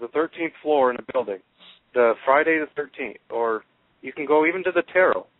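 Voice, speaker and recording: This man talks at a fairly quick pace in a fairly high pitch with ordinary pitch variation. He has an unremarkable speaking voice. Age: young. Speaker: spiritual channel creator. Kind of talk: radio interview. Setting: phone call.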